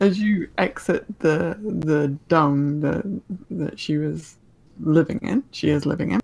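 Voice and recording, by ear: A woman speaks slowly at a low pitch with ordinary pitch variation. Her slightly mellow tone carries vocal fry and a slightly husky edge.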